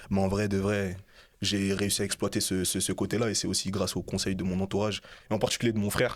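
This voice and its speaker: A man with a fairly low pitch talks very fast in a monotone, flat intonation at a very even loudness. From France, Bagneux (Hauts-de-Seine). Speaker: rapper. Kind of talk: casual interview.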